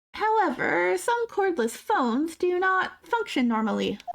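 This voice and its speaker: A man puts on a character voice in an extremely high pitch. He talks at a moderate pace with very wide pitch swings. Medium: actual play. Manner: formal, measured.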